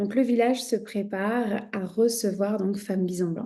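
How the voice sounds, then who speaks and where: A woman's dark, mellow tone at medium pitch, very slow in pace, with fairly even intonation. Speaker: shamanism teacher and podcast host. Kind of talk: podcast storytelling. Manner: conversational with frequent hesitations.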